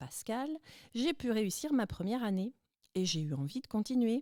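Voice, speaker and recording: A woman's dark, mellow voice moves through very wide pitch swings. The recording is very clean with a silent background and a dry, close sound with no echo. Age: 40s. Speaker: student radio presenter. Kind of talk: testimony. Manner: scripted, fluent.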